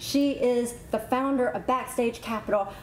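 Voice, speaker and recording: A woman with a Southern US accent speaks in a high pitch. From US South, South Carolina. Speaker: talk show host. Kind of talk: interview. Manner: animated.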